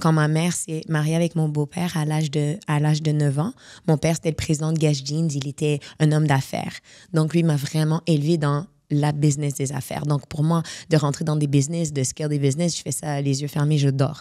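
Against a quiet background, a woman talks at a fairly quick pace with a very deep, low pitch and a dark, mellow tone. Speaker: life coach and speaker; podcast guest, speaker, coach. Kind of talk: interview. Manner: energetic; halting. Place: studio. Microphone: studio mic.

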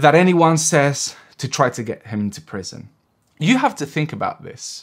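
Lively intonation marks the man's speech, heard over a quiet background. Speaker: political commentator. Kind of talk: commentary. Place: home room.

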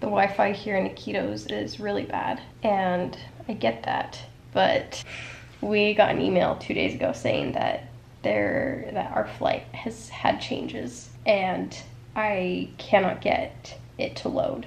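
The speech unfolds at a fairly slow pace with light background noise. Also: woman. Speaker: travel vlogger. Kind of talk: casual vlog chat. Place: home room. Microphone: phone near.

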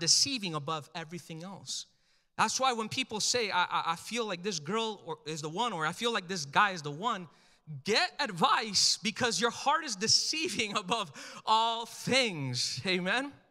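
A man speaks in a raised, projected voice with a bright, sharp tone, high pitch and lively intonation. His delivery is animated, at a moderate pace, over a quiet background. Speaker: pastor. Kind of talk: sermon. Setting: church with live congregation. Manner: animated, urgent, exhortative preacher cadence, pressing the crowd for amens. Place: church. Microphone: handheld.

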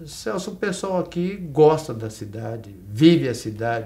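A man speaks with lively intonation and a dark, mellow tone. His voice is somewhat breathy. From Brazil, São Paulo state (Araçatuba area); São Paulo state, Brazil. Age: 70s. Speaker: retired bank and health-cooperative administrator; interview guest. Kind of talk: interview. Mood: warm, reflective. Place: studio.

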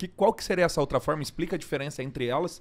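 A man's voice with ordinary pitch variation. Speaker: agronomist podcast host. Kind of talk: casual interview-style podcast chat.

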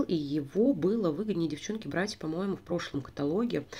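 A woman's dark, mellow tone with lively intonation. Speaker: beauty vlogger and sales consultant. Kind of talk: product review. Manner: chatty, informal.

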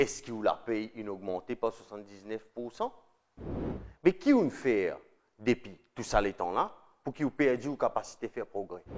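With a Mauritian accent, a man speaks with long, frequent pauses and big swings in loudness. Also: ordinary pitch variation, fairly slow pace. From Mauritius. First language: Mauritian Creole (speaking French). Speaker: political video presenter; presenter. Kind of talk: scripted narration. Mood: earnest, persuasive. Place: studio. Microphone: lapel.

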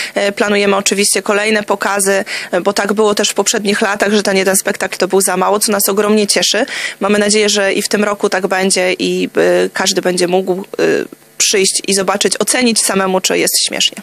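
The speech moves at a fairly quick pace, and the sound is dry with no echo. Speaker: guest. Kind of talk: interview answer. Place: studio. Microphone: studio mic.

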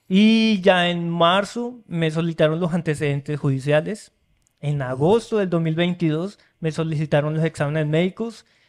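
Over a quiet background, a man with a high pitch speaks at a fairly slow pace. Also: ordinary pitch variation. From Colombia, Florencia (Caquetá); Colombia. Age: young. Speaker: engineer and immigrant; podcast guest. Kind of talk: casual interview. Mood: friendly, upbeat storytelling. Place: studio. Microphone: studio mic.

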